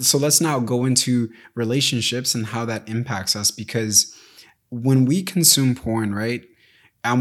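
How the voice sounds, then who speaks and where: With an American accent, a man with an unremarkable speaking voice of medium pitch talks at a moderate pace with ordinary pitch variation. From US. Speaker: podcast host. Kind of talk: solo podcast monologue.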